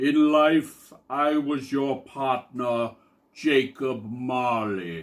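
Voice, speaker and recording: At a very slow pace, a man with a medium pitch puts on a character voice. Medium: read story. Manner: slow, solemn.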